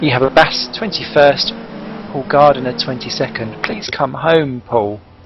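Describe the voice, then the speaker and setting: A man talks at a fairly slow pace. His pitch sits in the medium range, with music playing behind him. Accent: East Anglian. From East Anglia, England. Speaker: sim racing commentator. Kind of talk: live commentary. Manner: animated.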